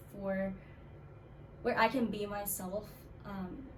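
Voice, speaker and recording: Amid noticeable background noise and audible room echo, a woman talks at a fairly slow pace with fairly even intonation. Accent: Korean. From South Carolina, US South. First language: Korean. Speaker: music student. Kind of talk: interview.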